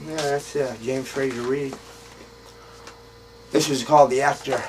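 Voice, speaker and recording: A man speaks at a moderate pace and fairly high pitch in a flat monotone, with noticeable background noise. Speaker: poet. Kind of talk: casual talk to camera. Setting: outdoors. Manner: hesitant.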